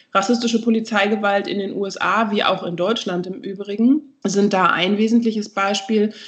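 A woman talks at a medium pitch with fairly even intonation and hardly any pauses. Noticeable background noise sits behind her. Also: moderate pace. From Berlin, Germany. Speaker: anti-racism trainer, institute co-founder. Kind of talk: interview.

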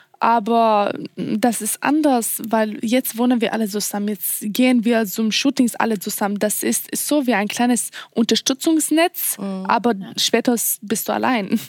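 The speaker has a Swedish accent and ordinary pitch variation, with noticeable background noise behind. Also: woman, fairly high pitch for a woman, moderate pace. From Sweden. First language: Swedish (speaking German). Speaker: model contestant. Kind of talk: casual chat. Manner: halting, searching for words.

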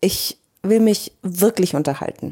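A woman speaks in a dark, mellow tone with lively intonation. Her voice is somewhat breathy. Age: 40s. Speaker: podcast host and coach. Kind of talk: personal monologue.

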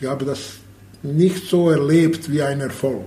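A man with a Bosnian accent, fairly high-pitched and somewhat breathy, at a very slow pace with lively intonation and audible room echo. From Bosnia (Sarajevo). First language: Bosnian/Serbo-Croatian (speaking German). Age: 50s. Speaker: handball coach and former player. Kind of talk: interview testimony. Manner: halting.

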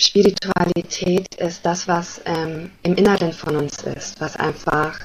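A woman's fairly low voice, fairly slow and fairly even in intonation, with noticeable background noise. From Germany. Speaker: spiritual coach. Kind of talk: podcast interview. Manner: hesitant, many fillers.

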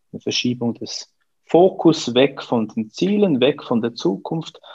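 Intonation is lively while the pace stays very slow. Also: man. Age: 40s. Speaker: coach. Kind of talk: interview.

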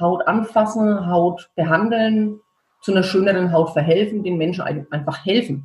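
A woman speaks at a medium pitch with a Franconian accent. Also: ordinary pitch variation, moderate pace. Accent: Franconian rolled R. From Franconia, Germany. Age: 40s. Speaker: beautician and skincare founder. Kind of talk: interview.

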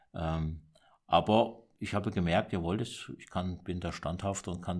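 In a very clean recording with a silent background, a man speaks slowly-ish, at a fairly slow pace, in a very deep, low pitch. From southern Germany, Baden tri-border area. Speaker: monk and entrepreneur. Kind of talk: interview. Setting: monastery.

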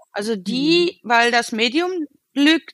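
A woman's very slow speech with very wide pitch swings and a dry, close sound with no echo. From Cologne, Germany. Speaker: photographer. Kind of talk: casual chat. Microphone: sync problems after minute 22.

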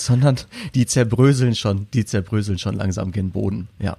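A man with a medium pitch and ordinary pitch variation talks at a moderate pace. His tone is dark, mellow and somewhat breathy. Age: 30s. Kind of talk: casual chat.

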